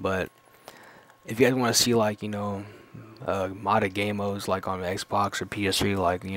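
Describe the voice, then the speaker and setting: This man talks at a fairly quick pace in a fairly low pitch. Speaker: gaming YouTuber. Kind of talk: casual vlog monologue. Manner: halting, many fillers.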